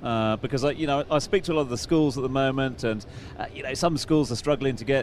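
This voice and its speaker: A man's ordinary speaking voice at medium pitch, fairly quick in pace, with ordinary pitch variation. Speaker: radio host.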